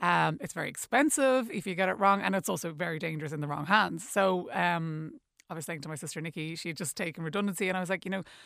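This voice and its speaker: A woman's fairly low, very fast voice with an Irish accent and ordinary pitch variation, on a very clean recording with a silent background. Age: 40s. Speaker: beauty event co-founder. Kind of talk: radio interview. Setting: studio. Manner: hesitant, many fillers.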